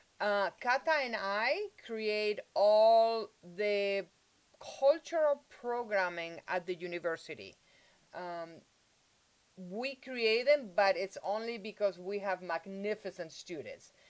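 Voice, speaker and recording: A woman with a Spanish accent at a medium pitch, very slow pace and ordinary pitch variation. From Spain, Madrid. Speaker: university multicultural affairs director. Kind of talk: bilingual interview.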